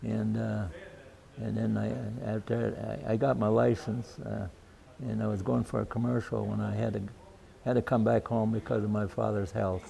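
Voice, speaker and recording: This is a man speaking. He talks with an Upper Midwest accent. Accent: Upper Midwest (Minnesota). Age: 80s+. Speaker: retired pilot, war veteran. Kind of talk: interview. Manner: halting, many fillers and repeats.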